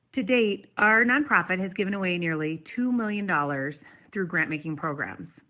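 A woman with an American accent speaks at a moderate pace in a plain, everyday voice, medium in pitch with lively intonation. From US Northeast, western New York. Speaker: nonprofit leader and former teacher. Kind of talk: prepared short talk, pre-recorded segment.

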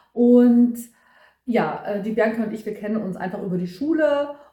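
Audible room echo surrounds a woman whose fairly high voice shows ordinary pitch variation. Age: 40s. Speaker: podcaster. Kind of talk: casual chat.

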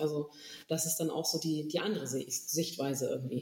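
A woman at a moderate pace, noticeable background noise behind her. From northern Germany, Stade district. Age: 30s. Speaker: volunteer firefighter and youth fire brigade official. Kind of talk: casual chat.

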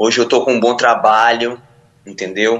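A man in a medium pitch keeps to a moderate pace. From Ilhéus, Bahia, Brazil. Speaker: preacher and former addict. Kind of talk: testimony.

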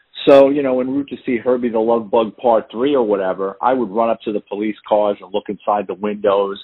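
Speaking at a fairly quick pace, a man with a New York accent uses ordinary pitch variation. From New York City, the Bronx. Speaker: retired police detective and author. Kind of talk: interview. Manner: animated storyteller.

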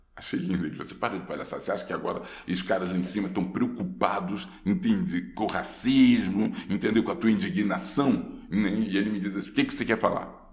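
A man talks at a fairly quick pace with hardly any pauses, and audible room echo surrounds his voice. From Rio de Janeiro, Brazil. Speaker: actor. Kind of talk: casual interview. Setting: studio.

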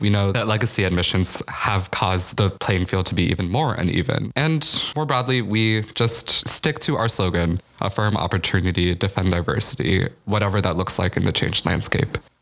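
With an American accent, a man uses a plain, everyday voice, fairly low in pitch with ordinary pitch variation, very even loudness, a moderate pace and hardly any pauses. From US Midwest, Chicago. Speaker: college student activist. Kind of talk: interview.

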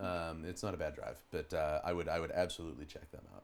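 This man talks with a Pittsburgh accent. His pace is fairly quick. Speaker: rock band drummer. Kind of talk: casual chat.

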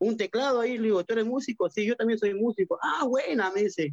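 This voice belongs to a man. It sounds dry and close, without any echo. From Peru. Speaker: band percussionist. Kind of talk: interview.

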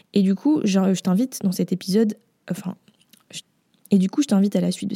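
Somewhat breathy and dark, mellow in tone, a woman speaks at a medium pitch with fairly even intonation in a dry, close sound with no echo. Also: long, frequent pauses. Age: 20s. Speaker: podcast host, brand designer. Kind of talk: casual solo podcast talk. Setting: home recording after move. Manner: casual with frequent fillers.

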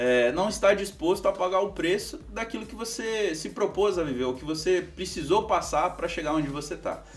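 A man's high-pitched voice at a fairly quick pace, with very wide pitch swings and noticeable background noise. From Brazil, Foz do Iguaçu, Paraná. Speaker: business manager and speaker. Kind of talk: casual interview chat.

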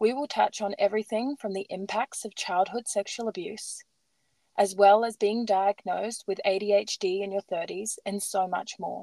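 In a dry, close sound with no echo, a woman with an Australian accent and a dark, mellow tone speaks at a medium pitch and a moderate pace with fairly even intonation. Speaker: podcast host. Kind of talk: casual interview; scripted intro.

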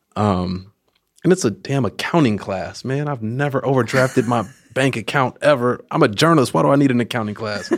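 A man with an American accent speaks in an ordinary speaking voice at medium pitch. His pace is fairly quick and his intonation lively. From Oakland, California. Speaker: journalist and educator. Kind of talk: casual chat.

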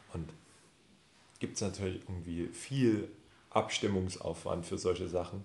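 A man's very deep, low, somewhat breathy voice with fairly even intonation, a fairly slow pace, and long, frequent pauses. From Saxony, near Chemnitz. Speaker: spice shop founder. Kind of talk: casual chat. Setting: office.

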